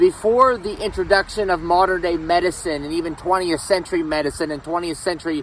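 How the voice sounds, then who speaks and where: Noticeable background noise runs under this loud recording. A man with an American accent speaks at a high pitch. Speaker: history vlogger. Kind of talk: casual vlog talk. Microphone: no microphone, camera audio.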